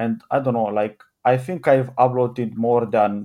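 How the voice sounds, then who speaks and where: A man speaks with a Romanian accent. His tone is dark and mellow. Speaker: YouTube channel owner. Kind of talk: casual chat.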